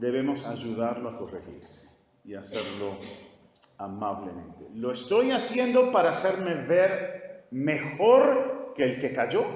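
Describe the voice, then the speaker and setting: Against noticeable background noise and audible room echo, a man talks at a very slow pace with big swings in loudness. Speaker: pastor teaching a church course. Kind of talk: sermon-style teaching session. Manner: repetitive, emphatic.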